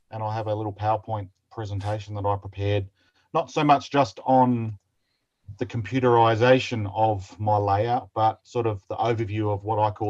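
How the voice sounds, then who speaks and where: Against a quiet background, a man with an Australian accent speaks at a moderate pace, his fairly low, somewhat breathy voice holding fairly even intonation. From South Australia, Adelaide. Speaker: model railroader. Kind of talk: presentation.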